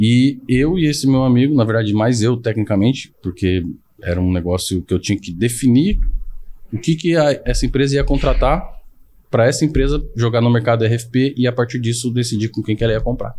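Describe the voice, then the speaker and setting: A man speaks at a fairly quick pace with ordinary pitch variation. His tone is dark and mellow, and there is light background noise. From São Paulo, Brazil. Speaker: IT consultant; podcast guest. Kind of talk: casual interview chat. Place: studio. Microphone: studio mic.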